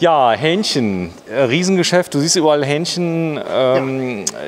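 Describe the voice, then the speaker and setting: A man speaks at a very slow pace with lively intonation. Noticeable background noise runs behind him. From Saarland, Germany. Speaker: video host visiting a factory. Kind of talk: guided factory tour chat. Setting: workshop hall.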